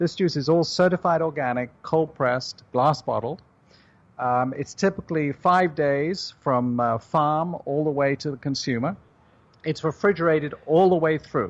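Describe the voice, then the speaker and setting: With a British accent and a fairly high pitch, a man talks at a moderate pace with ordinary pitch variation against a quiet background. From United Kingdom. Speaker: juice company CEO. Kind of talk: radio interview.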